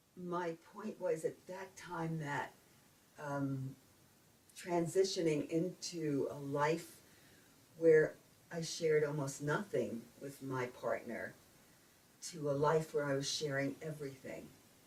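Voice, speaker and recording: In a New York accent, a woman speaks at a very slow pace in a very deep, low, somewhat breathy voice, with ordinary pitch variation and long, frequent pauses. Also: big swings in loudness. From Brooklyn, New York. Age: 70s. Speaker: retired speech pathologist. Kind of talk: interview answer.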